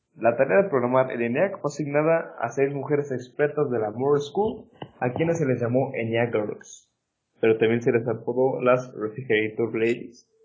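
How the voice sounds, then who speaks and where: A plain, everyday voice belonging to a man, mid-range in pitch, moderate in tempo, with ordinary variation in pitch. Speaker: science podcast host. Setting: remote recording.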